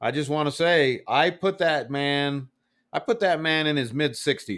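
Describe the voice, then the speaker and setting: The recording is very clean, with a silent background, as a man speaks at a fairly slow pace. He has a plain, everyday voice, fairly high in pitch, with ordinary pitch variation. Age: 40s. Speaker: motorcycle podcast host. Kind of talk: casual chat.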